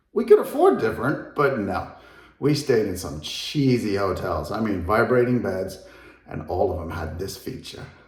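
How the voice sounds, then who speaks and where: A man with a fairly low pitch, big swings in loudness and audible room echo. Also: lively intonation, moderate pace. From England, moved to US at twelve. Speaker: real estate agent. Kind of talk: house tour video. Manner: casual, conversational.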